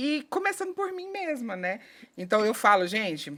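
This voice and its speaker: The speaker has a strong Goiás accent and talks at a moderate pace. Their pitch swings very widely. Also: woman. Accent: Goiás accent, kept strong. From Goiás, Brazil (Rio Verde). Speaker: HR specialist and conflict mediator. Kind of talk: podcast interview. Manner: chatty, animated.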